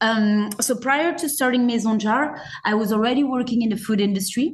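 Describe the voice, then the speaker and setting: A woman with a fairly high pitch and a somewhat breathy voice speaks at a moderate pace with lively intonation, and audible room echo is present. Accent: French. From France. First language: French. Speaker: zero-waste store owner. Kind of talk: podcast interview. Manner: hesitant, many fillers.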